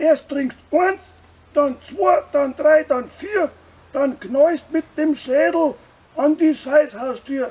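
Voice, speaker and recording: This is a cartoonish character voice. It moves at a very slow pace. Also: man, extremely high pitch for a man. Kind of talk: comedic puppet skit advertising a brewery festival. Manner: rhyming, jolly.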